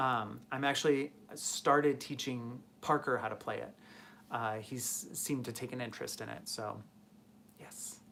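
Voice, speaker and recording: An American accent at a moderate pace, with long, frequent pauses, a bright, sharp tone and ordinary pitch variation. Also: man, medium pitch for a man. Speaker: guitar builder and live streamer. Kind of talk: live stream chat reading viewer comments. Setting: live stream from home workshop. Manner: casual, hesitant with fillers.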